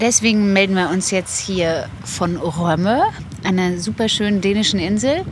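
A woman talks at a medium pitch with ordinary pitch variation. Background noise is noticeable. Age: 30s. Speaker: podcast co-host, mother of ten. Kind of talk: casual chat. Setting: on holiday on a Danish island.

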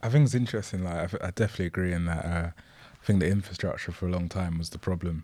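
On a very clean recording with a silent background, a man with a London accent talks very fast in a very deep, low voice with a dark, mellow tone and ordinary pitch variation. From Bromley, south-east London, England. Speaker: music journalist and writer. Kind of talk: podcast interview, casual discussion.

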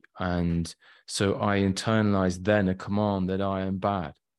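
Over a quiet background, a man with a West Midlands accent speaks at a moderate pace, his very deep, low voice monotone and flat. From England (Shropshire, Shrewsbury). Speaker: trauma work client. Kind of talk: testimony.

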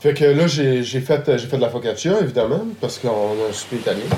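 Amid audible room echo and noticeable background noise, a man with a Quebec accent talks at a fairly quick pace in a medium pitch. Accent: Québécois French. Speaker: chef. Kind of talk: casual conversation. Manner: halting.

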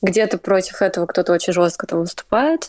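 At a moderate pace, a woman speaks in a normal speaking voice with ordinary pitch variation, the sound dry and close with no echo in a very clean recording over a silent background. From Russia. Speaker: student. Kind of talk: casual chat.

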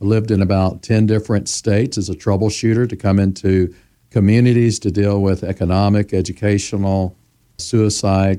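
A man's fairly low, dark and mellow voice with an American accent, monotone and flat at a moderate pace, on a very clean recording with a silent background. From US South, Memphis, Tennessee. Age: 60s. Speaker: community revitalization consultant. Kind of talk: interview.

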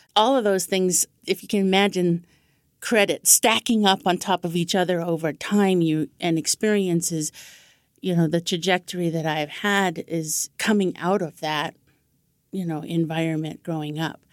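A woman with a normal speaking voice, fairly low in pitch, fairly even in intonation, at a moderate pace, with a dry, close sound with no echo on a very clean recording with a silent background. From Navajo Nation, US Southwest. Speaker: education consultant. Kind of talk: interview.

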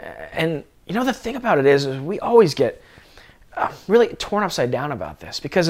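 The pace here is fairly quick, from an unremarkable speaking voice. Lively intonation runs through it. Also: man. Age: 40s. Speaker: guest preacher, former church staff. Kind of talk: sermon.

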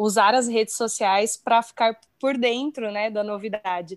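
A woman with a normal speaking voice talks at a moderate pace, fairly high in pitch and fairly even in intonation, in a very clean recording with a silent background and a dry, close sound with no echo. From São Paulo, Brazil. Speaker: speech therapist, audiologist. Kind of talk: casual chat.

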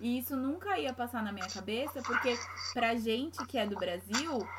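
Noticeable background noise sits behind a woman speaking with a São Paulo accent. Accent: São Paulo (paulista). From Brazil, São Paulo city. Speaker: podcast co-host, Brazilian expat. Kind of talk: casual chat.

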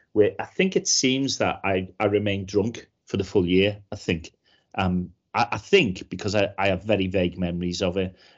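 The man's fairly low voice moves at a moderate pace with fairly even intonation. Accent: Liverpool. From Liverpool, England. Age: 50s. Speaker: cybersecurity trainer and comedian. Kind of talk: casual interview chat.

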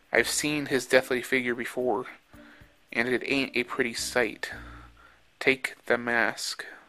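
Over background music, a man with a medium pitch speaks very slowly in a monotone, flat intonation, leaving long, frequent pauses. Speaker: author and podcast host. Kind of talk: reading aloud, original short story narration with a casual host intro and outro; dramatic narration, spooky Halloween tale read aloud with character voices. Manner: casual, chatty, friendly with filler words.

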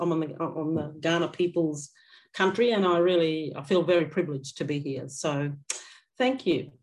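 A woman with an Australian accent and a fairly low pitch, ordinary pitch variation, a moderate pace, and a quiet background. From Queensland, Atherton Tablelands. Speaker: educator and artist. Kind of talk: lecture. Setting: video call.

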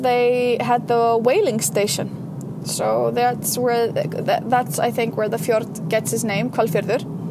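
Amid noticeable background noise and audible room echo, a woman with an Icelandic accent speaks very slowly in a fairly high voice with ordinary pitch variation. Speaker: sex educator. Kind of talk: casual vlog monologue. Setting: in a car.

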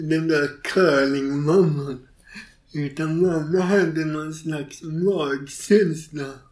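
Audible room echo surrounds a man with a fairly high pitch who speaks at a very slow pace with fairly even intonation. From Gothenburg, Sweden. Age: 40s. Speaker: author and stand-up comedian. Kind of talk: interview conversation.

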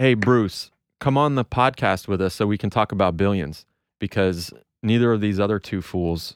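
In a very clean recording with a silent background, a man speaks at a moderate pace with ordinary pitch variation, the sound dry and close with no echo.

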